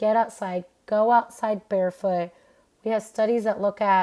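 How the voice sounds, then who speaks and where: In a very clean recording with a silent background, a woman speaks at a medium pitch and a moderate pace. Her tone is dark and mellow, her intonation monotone and flat. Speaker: podcast host, doctor. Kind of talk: solo podcast talk. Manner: loud; casual, filler-heavy.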